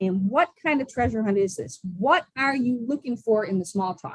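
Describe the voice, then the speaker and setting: A woman speaks in an enthusiastic tone. Her pitch sits fairly high. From Buffalo, New York. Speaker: social skills coach. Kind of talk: podcast interview answer.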